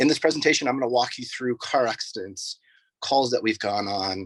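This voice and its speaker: Against a quiet background, a man with a normal speaking voice and an American accent talks at a fairly quick pace with ordinary pitch variation. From Oregon, US. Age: 30s. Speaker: firefighter and EMT. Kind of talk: informal presentation to students. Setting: sitting in the back of a rescue vehicle at a fire station, video call.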